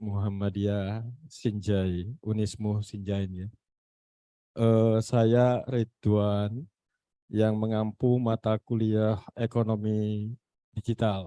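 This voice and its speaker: A man with a Makassar accent talks at a very slow pace in a fairly low pitch, his dark, mellow tone held to a monotone, flat intonation, with a dry, close sound and no echo. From Makassar, South Sulawesi. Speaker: university lecturer. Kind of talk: online meeting discussion. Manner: halting, many fillers.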